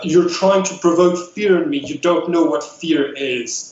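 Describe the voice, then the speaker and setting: Doing a put-on character voice at a high pitch, a man speaks at a moderate pace with hissing and a slight echo. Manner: hissing, defiant.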